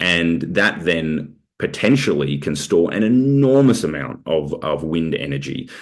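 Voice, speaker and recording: A man's very deep, low voice with an Australian accent and vocal fry. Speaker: researcher presenting report. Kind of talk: webinar Q&A. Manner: halting, many fillers.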